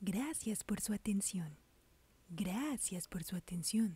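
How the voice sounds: With lively intonation and a dark, mellow tone, a woman speaks at a very slow pace in a medium-pitched, somewhat breathy voice.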